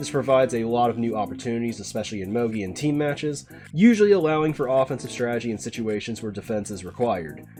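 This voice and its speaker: Over music in the background, the speaker rushes at a very fast pace with hardly any pauses and ordinary pitch variation. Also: man, medium pitch for a man. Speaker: competitive racing game player. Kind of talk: game tutorial narration.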